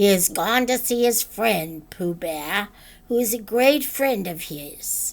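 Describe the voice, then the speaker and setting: A woman's put-on character voice, raspy and medium in pitch, with lively intonation at a fairly slow pace. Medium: read story. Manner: fussy, precise.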